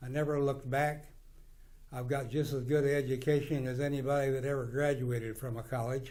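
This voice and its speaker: In a Midwestern US accent, a man talks at a moderate pace with a medium pitch, fairly even intonation and a somewhat breathy voice, with audible room echo around him. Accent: rural Midwestern American. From US Midwest, western Kansas. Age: 80s+. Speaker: businessman. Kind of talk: interview monologue. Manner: halting.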